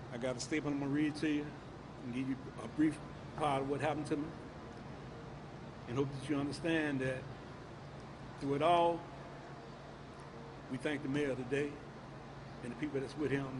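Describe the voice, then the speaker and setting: Audible room echo surrounds a man who talks at a fairly quick pace and fairly high pitch with monotone, flat intonation. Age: 70s. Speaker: torture survivor, activist. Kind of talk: testimony, reading a statement. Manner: halting.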